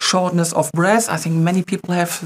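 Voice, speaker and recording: A woman with a German accent. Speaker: company webinar co-host. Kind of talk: webinar presentation. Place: studio. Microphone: lapel.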